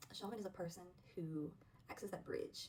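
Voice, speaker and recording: Talking at a fairly quick pace, a woman speaks with a Southern US accent. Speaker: spiritual vlogger, witch. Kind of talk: casual talk to camera. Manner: relaxed, hesitant with fillers.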